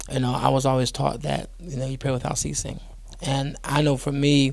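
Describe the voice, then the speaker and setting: Audible room echo fills the space. A man talks at a moderate pace. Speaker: pastor. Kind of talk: interview. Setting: studio.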